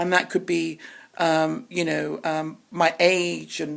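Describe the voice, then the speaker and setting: A woman speaks at a fairly low pitch. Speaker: spiritual podcaster. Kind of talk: spiritual monologue. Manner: halting.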